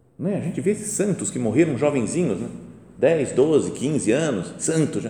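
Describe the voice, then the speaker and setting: With audible room echo, a man speaks fairly slowly at a fairly high pitch, his intonation lively. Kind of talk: guided meditation talk. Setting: chapel before the tabernacle. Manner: conversational.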